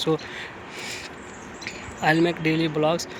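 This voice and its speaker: Over noticeable background noise, a man with a Bihari accent and a fairly high pitch speaks at a fairly slow pace. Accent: Indian English (Bihari). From Bihar, India. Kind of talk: casual talk to camera. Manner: hesitant, repetitive.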